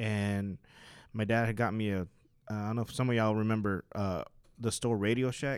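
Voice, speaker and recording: On a very clean recording with a silent background, a man with an unremarkable speaking voice talks at a moderate pace in a fairly low pitch. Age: 30s. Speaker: church musician and worship singer. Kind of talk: casual chat.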